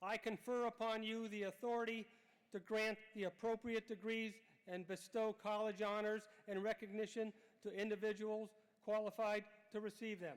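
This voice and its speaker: Moderate pace with monotone, flat intonation. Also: man, high pitch for a man. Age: 70s. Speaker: college board member. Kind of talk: commencement speech. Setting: stage with audience. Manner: formal.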